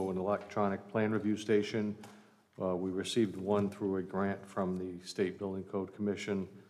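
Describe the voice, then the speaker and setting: A man's very deep, low voice in a monotone, flat delivery. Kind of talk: budget presentation. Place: hall. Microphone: podium.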